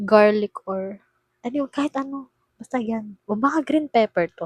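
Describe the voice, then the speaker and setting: The voice is soft-spoken, with lively intonation and a fairly slow pace. The sound is dry and close, with no echo. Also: woman. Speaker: vlogger. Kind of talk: casual vlog unboxing. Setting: dorm room. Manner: animated.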